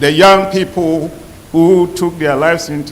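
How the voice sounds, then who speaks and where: A man's fairly high voice at a fairly slow pace, fairly even in intonation, with noticeable background noise and audible room echo. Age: 70s. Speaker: professor, survey researcher. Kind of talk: closing remarks on a panel.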